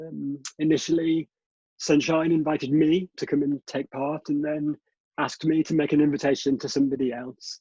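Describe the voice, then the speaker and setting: In a dry, close sound with no echo, a man with a fairly high pitch and a dark, mellow tone speaks in a monotone, flat way at a moderate pace. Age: 50s. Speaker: theatre artistic director. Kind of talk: panel conversation. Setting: video call from home.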